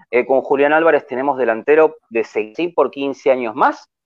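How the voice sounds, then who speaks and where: A man speaks with a Rioplatense accent. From Argentina. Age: 60s. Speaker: football fan commentator. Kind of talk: casual chat.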